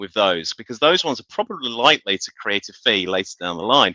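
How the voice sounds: Bright and sharp in tone, a man talks at a fairly quick pace. The sound is dry and close, with no echo.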